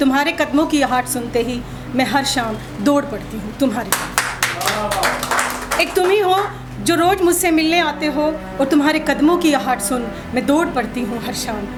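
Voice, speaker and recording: A woman with a high pitch and lively intonation talks against noticeable background noise. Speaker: poet. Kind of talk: poetry reading.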